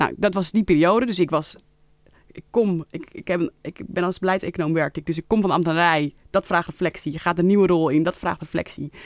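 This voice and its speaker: With an ordinary speaking voice, a woman talks at a fairly quick pace in a fairly low pitch, her intonation fairly even but her loudness swinging widely, on a very clean recording with a silent background and a dry, close sound with no echo. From Netherlands, Leiden. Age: 30s. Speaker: member of parliament. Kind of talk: interview. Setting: studio.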